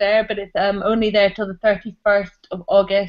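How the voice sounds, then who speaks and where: A woman with a Scottish accent at a fairly quick pace. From Scotland. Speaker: comic artist. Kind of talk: casual chat.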